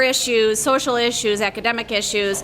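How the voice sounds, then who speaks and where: A woman speaks at a moderate pace with a fairly high pitch and ordinary pitch variation over noticeable background noise. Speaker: business owner, officer candidate. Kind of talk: short speech. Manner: loud. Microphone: no microphone, speaking unamplified.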